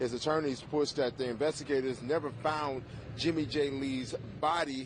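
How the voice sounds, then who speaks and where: The speech moves at a moderate pace with fairly even intonation. It is a normal speaking voice. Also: man. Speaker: TV news anchor and reporter. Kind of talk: TV news anchor and field reporter reel. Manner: live field reporting, on location.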